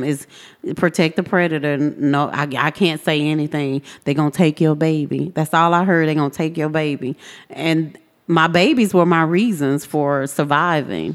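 In an American accent, a woman with a very deep, low pitch speaks at a moderate pace with fairly even intonation. The recording is very clean, with a silent background. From Texas, South Dallas. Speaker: activist and trafficking survivor. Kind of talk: personal testimony. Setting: studio.

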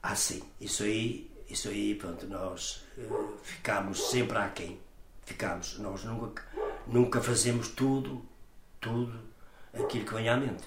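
A man with a medium-pitched voice speaks very slowly and with fairly even intonation, with noticeable background noise and audible room echo. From northern Portugal, São Torquato (Guimarães area). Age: 70s. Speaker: community elder, scout movement member. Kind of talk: interview, life story. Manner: halting, with many repetitions and fillers.

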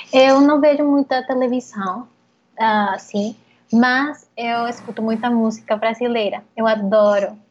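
In a Spanish accent, a woman talks with a fairly high, somewhat breathy voice. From Colombia, Bogotá. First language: Spanish (speaking Portuguese). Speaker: interview guest. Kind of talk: interview. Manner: halting.

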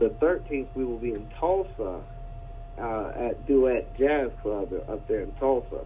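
A man's voice over noticeable background noise. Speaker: musician and event organizer. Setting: phone call. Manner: relaxed, anecdotal, slightly filler-heavy.

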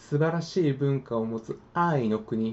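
A man at a very slow pace, with lively intonation. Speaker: podcaster, language learner. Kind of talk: casual monologue. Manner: casual, friendly.

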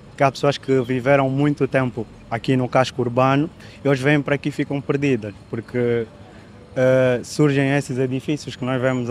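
At a moderate pace, the voice stays in a monotone, flat intonation. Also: man. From Angola, Luanda. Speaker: photographer. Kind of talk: casual interview.

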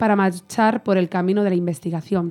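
Speaking at a moderate pace, a woman uses a medium pitch and a dark, mellow tone with fairly even intonation. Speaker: radio presenter. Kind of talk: radio talk show. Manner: chatty.

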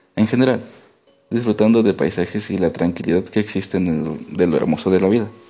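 Here is an ordinary speaking voice, from a man. His pitch is fairly low, with ordinary pitch variation. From Mexico, rural Veracruz. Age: 20s. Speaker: nurse, therapy client. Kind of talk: role-played therapy intake interview.

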